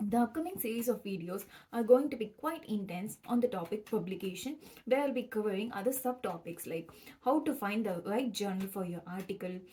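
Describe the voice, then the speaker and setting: Speaking at a fairly quick pace, a woman uses lively intonation and a fairly high pitch. Noticeable background noise sits behind her. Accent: Tamil. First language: Tamil. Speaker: PhD student vlogger. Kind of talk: educational vlog.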